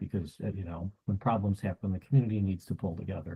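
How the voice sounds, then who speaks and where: Very fast and somewhat breathy, a man speaks in a very deep, low pitch with ordinary pitch variation. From United States. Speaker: cyber security consultant. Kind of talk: interview. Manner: halting, many fillers.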